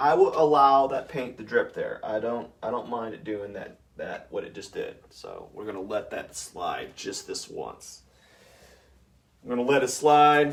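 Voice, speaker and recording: Fairly slow speech with big swings in loudness and noticeable background noise. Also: man. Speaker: painter. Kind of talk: live painting demonstration. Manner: casual, rambling. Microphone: no mic, talking away from camera.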